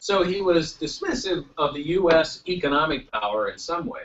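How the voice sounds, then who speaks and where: A man talks at a fairly high pitch. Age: 60s. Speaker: congressman and former television executive. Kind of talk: panel speech.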